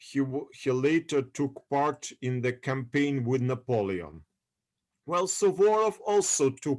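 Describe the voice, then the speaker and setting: A man with a Russian accent, medium-pitched, at a fairly slow pace. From Odessa, Ukraine. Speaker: history lecturer. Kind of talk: lecture. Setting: video call. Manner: halting.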